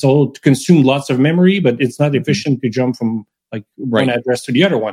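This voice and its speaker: With a Quebec accent, the speaker goes at a very fast pace with ordinary pitch variation and a dark, mellow tone, the sound dry and close with no echo. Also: man, medium pitch for a man. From Quebec, Montreal. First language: French. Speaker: software developer. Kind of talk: casual technical interview.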